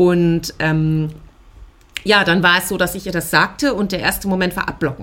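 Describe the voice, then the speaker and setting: A woman keeps to a moderate pace while noticeable background noise carries on around her. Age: 30s. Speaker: podcast co-founder sharing ADHD experience. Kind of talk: personal testimony interview. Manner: frequent filler hesitations.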